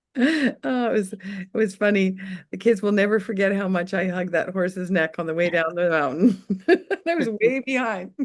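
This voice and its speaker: A woman with a plain, everyday voice speaks at medium pitch and a moderate pace with ordinary pitch variation. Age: 60s. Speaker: webinar presenter, farm community member. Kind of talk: casual webinar chat, storytelling.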